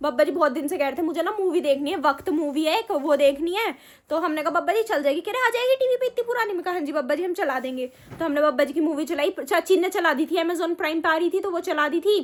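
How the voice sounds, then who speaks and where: A woman talks in an extremely high voice with lively intonation. She speaks with hardly any pauses. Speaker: family vlogger. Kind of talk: casual chat. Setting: at home.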